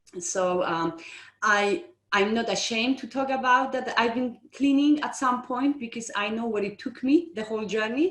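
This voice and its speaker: A woman with a non-native accent, fairly high pitch, lively intonation and a moderate pace. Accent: foreign. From outside the UK. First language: not English. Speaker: estate agency owner. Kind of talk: interview.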